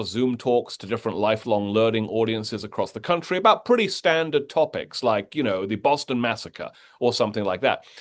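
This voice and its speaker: A man's medium-pitched voice with an American accent, very fast and with lively intonation, over a quiet background. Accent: British, slight American tinges. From Britain. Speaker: history professor and author. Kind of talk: interview.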